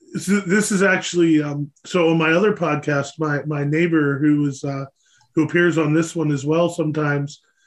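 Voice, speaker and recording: An ordinary speaking voice with an American accent. It moves at a moderate pace with fairly even intonation. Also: man, fairly high pitch for a man. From Pennsylvania. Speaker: podcast host. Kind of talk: casual interview. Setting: studio.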